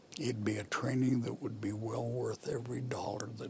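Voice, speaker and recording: A man speaks at a medium pitch, and noticeable background noise runs throughout. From Pennsylvania. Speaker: war veteran; politician. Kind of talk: interview answer. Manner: relaxed, slow.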